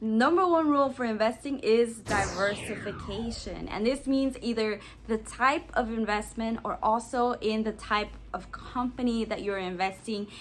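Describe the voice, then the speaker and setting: A woman talks in a plain, everyday voice at a fairly high pitch. Her pace is moderate, with ordinary pitch variation. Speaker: lifestyle and personal finance vlogger. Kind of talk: tutorial. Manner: casual.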